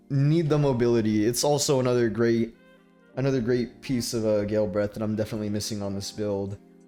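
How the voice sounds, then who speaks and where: Music plays in the background as a man speaks. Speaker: gamer, video uploader. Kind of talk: casual gaming commentary. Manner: stutters, halting.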